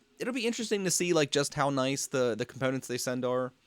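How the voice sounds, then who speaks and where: Speaking at a fairly quick pace, a man with an American accent uses very wide pitch swings in a fairly high voice, the sound dry and close with no echo. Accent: local Pennsylvania accent, noticed by others. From Pennsylvania. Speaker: 3D printing live streamer. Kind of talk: casual live stream chat. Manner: halting, many fillers and repeats.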